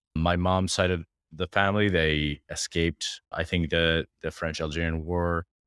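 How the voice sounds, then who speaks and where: A man with a very deep, low pitch speaks in a flat monotone at a moderate pace, recorded very cleanly against a silent background. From Jordan. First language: Arabic. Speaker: tech startup founder and CEO. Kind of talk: casual interview conversation.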